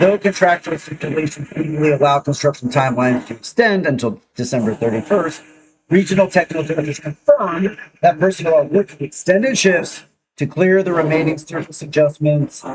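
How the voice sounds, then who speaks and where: Fairly quick speech with ordinary pitch variation. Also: man, fairly high pitch for a man. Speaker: live-stream news show host. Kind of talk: casual chat; news reading. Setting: live stream. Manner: loud.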